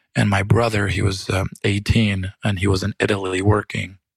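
A man speaks with a Romanian accent at a fairly low pitch. The sound is dry and close with no echo. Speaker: fire survivor. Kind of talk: casual interview.

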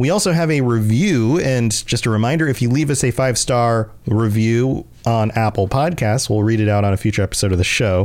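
A man's unremarkable speaking voice at a medium pitch, with lively intonation. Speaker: podcast host. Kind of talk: casual podcast chat about game lore.

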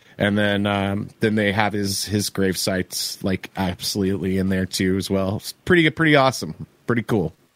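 Dry and close with no echo, a man with an American accent and an ordinary speaking voice talks at a moderate pace with hardly any pauses, a fairly low pitch and ordinary pitch variation. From Oklahoma. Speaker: touring stage manager and interview show host. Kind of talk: casual interview chat.

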